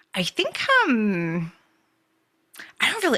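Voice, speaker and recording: A woman with an English accent speaks in a bright, sharp tone. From England. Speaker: book club participant. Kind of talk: casual chat. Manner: halting.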